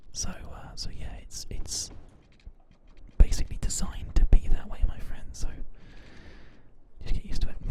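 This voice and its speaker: Whispering in a relaxed tone at a moderate pace, the voice leaves long, frequent pauses over noticeable background noise. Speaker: ASMR gaming streamer. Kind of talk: whispered live-stream gaming commentary. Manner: soft-spoken, relaxed.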